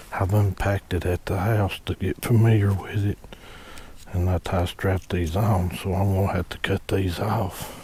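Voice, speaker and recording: A man speaks quietly at a moderate pace. His very deep, low pitch stays monotone and flat. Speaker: hunting channel host. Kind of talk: product unboxing tutorial. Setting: outdoors at a hunting ladder stand. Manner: quiet low talking.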